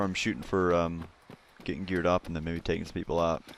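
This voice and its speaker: A man rushes through his words at a very fast pace amid noticeable background noise. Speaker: gaming YouTuber. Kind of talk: let's play commentary. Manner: casual, filler-heavy.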